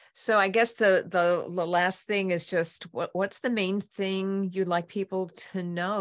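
A woman is speaking. The background is quiet. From New York City. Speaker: podcast host. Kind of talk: casual interview chat.

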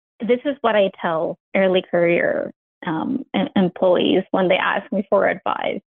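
A woman with a Mexican accent speaks at a fairly slow pace, her intonation lively. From Mexico, Ciudad Juarez. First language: Spanish. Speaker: engineering manager. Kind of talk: interview.

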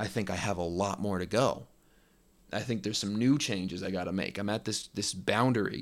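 At a fairly quick pace, a man with an ordinary speaking voice talks at fairly low pitch with ordinary pitch variation on a very clean recording with a silent background. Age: 20s. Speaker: podcast host. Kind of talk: solo reflective monologue.

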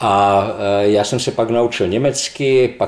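With noticeable noise in the background, a man talks in a fairly low voice. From Slovakia, Levoča. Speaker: neurologist professor. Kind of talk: interview.

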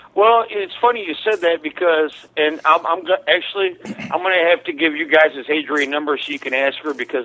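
Amid noticeable background noise, a man with an American accent talks at a fairly quick pace with ordinary pitch variation. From Missouri, US. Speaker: musician. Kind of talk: casual chat.

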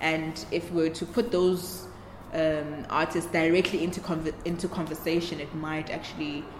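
A woman with a very deep, low pitch speaks at a moderate pace in a monotone, flat intonation, with audible room echo and noticeable background noise. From South Africa, Newcastle. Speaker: exhibition curator. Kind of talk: interview.

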